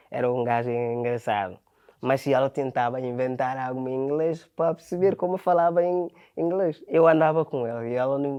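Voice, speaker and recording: The speech goes at a moderate pace with ordinary pitch variation. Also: man, medium pitch for a man. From Ghana. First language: Ghanaian language (Portuguese learned as adult) (speaking Portuguese). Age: 20s. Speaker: factory worker and footballer. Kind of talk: interview. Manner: halting.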